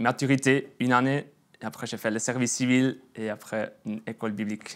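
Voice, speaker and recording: Speaking at a moderate pace with a slight Swiss German accent, the voice comes through on a very clean recording with a silent background. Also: man. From Swiss German region (Bern, Emmental). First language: Swiss German (speaking French). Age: 20s. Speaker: churchgoer giving testimony, sales worker. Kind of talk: testimony. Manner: halting, many hesitations.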